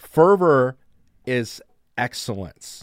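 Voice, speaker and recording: A man with medium pitch has an ordinary speaking voice. The sound is dry and close with no echo, on a very clean recording with a silent background. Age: 40s. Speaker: sales executive. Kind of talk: interview.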